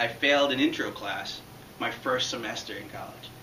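As a man speaks, the room echo is audible and light noise sits in the background. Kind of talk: prepared public speech. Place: classroom. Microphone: camera far.

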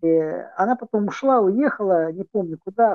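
A man's high-pitched voice, dry with no echo, over a quiet background. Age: 60s. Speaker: chat roulette stranger. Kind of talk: casual chat. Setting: video chat. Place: home room. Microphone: video call.

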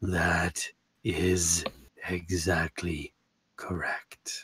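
In a put-on character voice, the speaker delivers lines with flat, monotone intonation in a dry, close sound with no echo. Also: man, very deep, low pitch for a man. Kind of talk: ominous.

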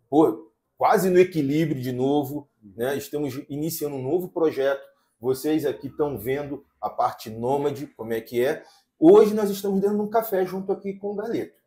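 A man with a fairly high, somewhat breathy voice speaks at a moderate pace. His intonation is lively. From Brazil. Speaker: podcast host. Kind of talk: casual podcast chat. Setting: cafe, recording on location. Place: studio. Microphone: lapel.

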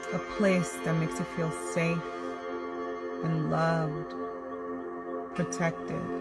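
Over loud background music, a woman speaks at a very slow pace with long, frequent pauses. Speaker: guided meditation host. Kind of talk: guided meditation. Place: car. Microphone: phone near.

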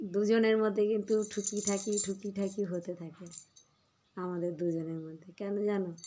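A woman at a medium pitch speaks in a monotone, flat intonation with a dark, mellow tone and big swings in loudness. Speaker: vlogger and homemaker. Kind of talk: casual vlog talk to viewers.

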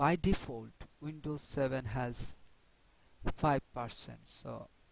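A man talks with a non-native accent. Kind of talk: software tutorial narration.

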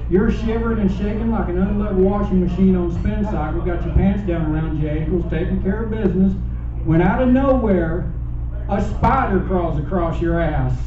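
Amid light background noise and audible room echo, a man with a Southern US accent speaks in a very deep, low voice. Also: moderate pace. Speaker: stand-up comedian. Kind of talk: stand-up comedy set. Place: stage.

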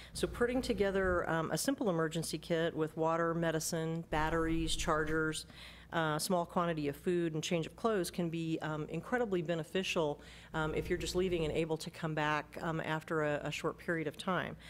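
A woman's fairly low voice, fairly quick and fairly even in intonation, over light background noise. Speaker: presenter. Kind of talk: meeting report. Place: hall. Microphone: podium.

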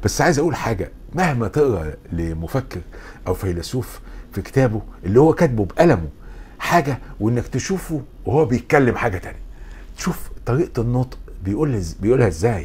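This voice, in an Egyptian accent, swings very widely in pitch. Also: man, medium pitch for a man, moderate pace. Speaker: philosophy lecturer. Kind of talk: lecture.

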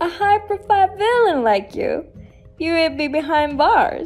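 Against faint music in the background, a woman uses a put-on character voice at an extremely high pitch and a moderate pace. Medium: dub.

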